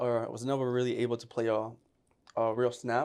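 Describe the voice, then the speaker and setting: A man's medium-pitched voice at a very fast pace. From Puerto Rico, then upstate New York. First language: Spanish. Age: 20s. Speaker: former college football player, receiver trainer. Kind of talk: casual podcast interview. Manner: casual, animated.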